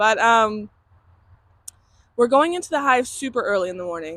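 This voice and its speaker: Loud and swinging very widely in pitch, a woman speaks on a very clean recording with a silent background. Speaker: beekeeper. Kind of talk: casual vlog narration. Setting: outdoors.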